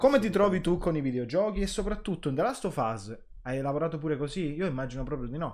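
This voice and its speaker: Against a quiet background, a man speaks very fast at a fairly high pitch, with very wide pitch swings. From Palermo, Sicily; Sicily. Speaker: podcast host. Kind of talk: casual interview chat. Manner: animated, excitable. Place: home room.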